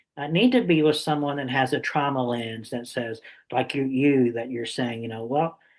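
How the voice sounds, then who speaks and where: Speaking in a normal speaking voice, a man keeps a medium pitch, fairly even intonation, and a moderate pace. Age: 60s. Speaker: summit interviewer. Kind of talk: interview.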